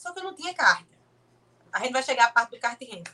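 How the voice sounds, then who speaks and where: A woman's high-pitched voice with a bright, sharp tone and lively intonation. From Brazil, Pernambuco (Olinda). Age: 20s. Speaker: motorsport content creator and kart driver. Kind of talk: casual interview.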